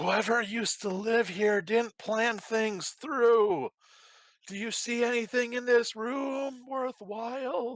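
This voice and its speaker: A man puts on a character voice with an extremely high pitch, fairly even intonation and a fairly slow pace. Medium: actual play.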